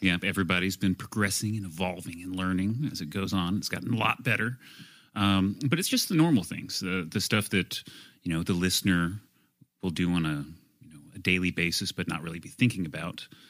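This man has a very deep, low pitch with ordinary pitch variation. He talks at a fairly quick pace. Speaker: audio engineer. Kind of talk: casual chat. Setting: studio recording booth.

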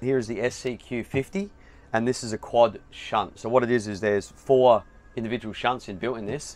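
A man at a moderate pace, with fairly even intonation. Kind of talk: product walkthrough explanation. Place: home room. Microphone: headset.

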